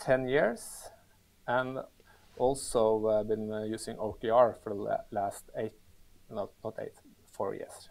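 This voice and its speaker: A man's medium-pitched voice with a Norwegian accent, at a fairly slow pace, with long, frequent pauses and monotone, flat intonation. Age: 40s. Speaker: manager, productivity expert. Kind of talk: podcast interview.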